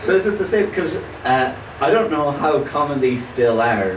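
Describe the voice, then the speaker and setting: Over noticeable background noise and audible room echo, a man with a fairly high voice makes very wide pitch swings. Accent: strong Irish. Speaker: comedian. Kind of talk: casual chat. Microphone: poor recording quality.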